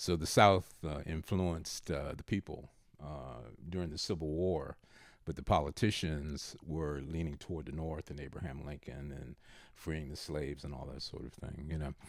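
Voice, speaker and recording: A man with a very deep, low pitch and vocal fry speaks at a moderate pace with fairly even intonation. His loudness swings widely on a very clean recording with a silent background. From Baltimore, Maryland, US. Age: 70s. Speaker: retired father of the host. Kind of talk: casual interview. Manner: frequent filler uh pauses.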